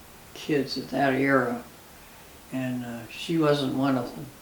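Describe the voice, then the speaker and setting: A woman speaks with a very deep, low pitch and fairly even intonation. Her pace is fairly slow, and there is noticeable background noise. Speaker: grandmother interviewee. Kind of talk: interview answer. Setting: home kitchen. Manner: reminiscing, laughing.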